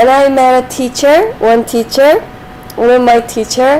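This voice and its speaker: A woman speaks in a high-pitched voice. There is noticeable background noise. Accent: Korean. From South Korea. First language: Korean. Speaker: streamer and Korean tutor. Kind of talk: casual live stream chat. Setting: live stream. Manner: halting.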